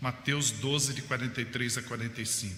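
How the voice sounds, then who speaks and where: There is noticeable background noise behind this man. His pitch is medium and his intonation is monotone and flat. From Campinas, São Paulo, Brazil. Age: 70s. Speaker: itinerant evangelical missionary preacher. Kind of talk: sermon with Bible reading.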